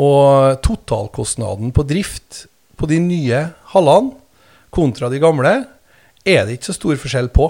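On a very clean recording with a silent background, a man with a fairly high pitch and a dark, mellow tone uses lively intonation at a fairly slow pace, with long, frequent pauses. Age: 40s. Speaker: mayor and politician. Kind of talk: casual interview. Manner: halting, many fillers and repetitions.

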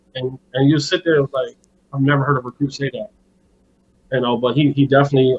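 This man speaks with an American accent at a medium pitch. His intonation is monotone and flat. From Buffalo, New York. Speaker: high school football coach and recruiting scout. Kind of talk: casual interview. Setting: phone call.

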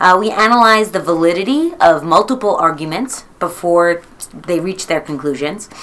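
Over noticeable background noise, a woman of medium pitch speaks at a moderate pace with lively intonation. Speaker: high school teacher. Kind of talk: interview.

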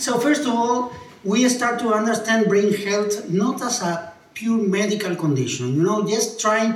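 Over noticeable background noise and audible room echo, a man with an Argentine accent talks at a fairly slow pace with lively intonation. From Argentina. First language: Spanish. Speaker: neuroscientist. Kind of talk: lecture.

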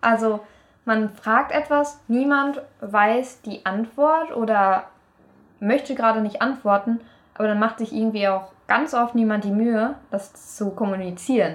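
A woman with a plain, everyday voice speaks at a fairly slow pace, her fairly high pitch showing ordinary pitch variation. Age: 20s. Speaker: university student. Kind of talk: casual chat.

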